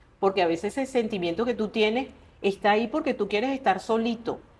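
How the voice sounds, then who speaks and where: A woman speaks in a plain, everyday voice at a fairly high pitch, with ordinary pitch variation and a fairly quick pace. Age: 60s. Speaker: writer. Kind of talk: interview conversation.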